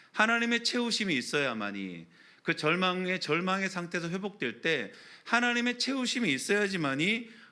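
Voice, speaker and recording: Room echo rings around a man whose bright, sharp voice makes very wide pitch swings. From Daegu, Gyeongsang, South Korea. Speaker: pastor. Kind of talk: sermon.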